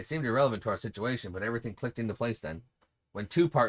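Over a quiet background, a natural reading voice full of lively intonation

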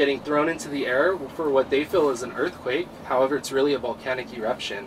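Speaking at a very fast pace with fairly even intonation, a man with a medium pitch is heard over noticeable background noise. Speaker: tour guide. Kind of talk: guided tour history talk. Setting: outdoors. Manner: soothing.

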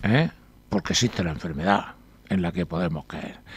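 Recorded dry with no echo, the voice has ordinary pitch variation. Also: man. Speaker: newspaper columnist. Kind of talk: reading aloud an article and discussing it. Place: studio.

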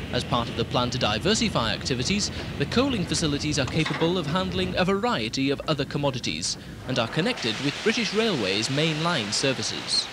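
Fairly quick speech from a man, the sound dry and echo-free, with noticeable noise in the background. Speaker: narrator of a promotional film. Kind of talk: documentary narration.

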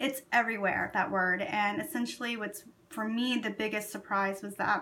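Her tone bright and sharp, a woman speaks at a moderate pace with ordinary pitch variation. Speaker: makeup product seller. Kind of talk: casual vlog chat. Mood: calm, friendly. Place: home room. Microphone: phone near.

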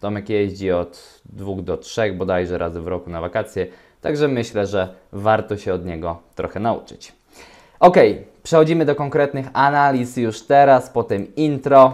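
The clip offers an ordinary speaking voice over a quiet background. Delivery is at a moderate pace with lively intonation. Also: man, fairly low pitch for a man. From Poland. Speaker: relationship coach and video host; relationship advice vlogger. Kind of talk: solo commentary reading forum posts. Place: home room. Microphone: webcam.

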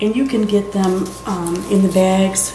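A woman talks at a fairly slow pace. Noticeable background noise runs behind her. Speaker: card-making demonstrator. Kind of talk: tutorial. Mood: friendly, chatty. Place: home room.

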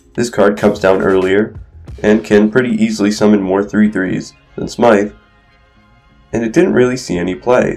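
A man's fairly low voice at a moderate pace with ordinary pitch variation, music in the background. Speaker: gaming content creator. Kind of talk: video game commentary narration. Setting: recorded without usual microphone.

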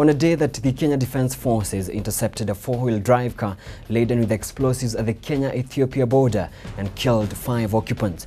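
With music playing in the background, a man speaks at a fairly quick pace with ordinary pitch variation. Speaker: news anchor and reporter. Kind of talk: headline teaser read. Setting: broadcast demo reel. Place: studio.

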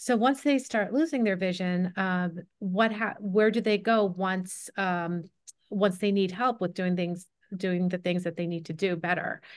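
Against a quiet background, a woman at medium pitch speaks at a fairly slow pace with ordinary pitch variation. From New Jersey (Cherry Hill); New Jersey. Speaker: low vision optometrist. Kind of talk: online panel presentation. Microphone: video call.

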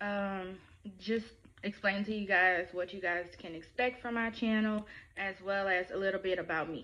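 In a Louisiana accent, a woman talks with a bright, sharp tone and fairly even intonation. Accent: Southern US, Louisiana. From Louisiana, Baton Rouge. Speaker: YouTuber. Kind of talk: vlog introduction. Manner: casual, hesitant with fillers. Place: home room. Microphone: phone near.

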